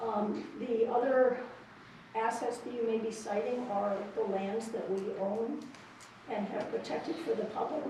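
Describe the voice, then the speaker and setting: Amid noticeable background noise and audible room echo, a woman speaks at a moderate pace and fairly high pitch, with fairly even intonation and long, frequent pauses. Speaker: land trust director. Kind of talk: public comment at a meeting. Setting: public meeting, at microphone. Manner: loud; hesitant, many fillers.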